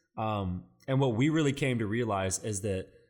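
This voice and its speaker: This man has an ordinary speaking voice with a fairly low pitch. His pitch varies in an ordinary way. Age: 20s. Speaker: student pastor and podcast co-host. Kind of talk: casual chat.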